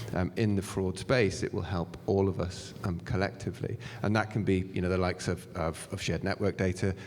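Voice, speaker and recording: With a British accent, a man speaks at a moderate pace in a very deep, low pitch and fairly even intonation. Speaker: fintech panelist. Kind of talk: panel discussion. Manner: halting, many fillers and restarts.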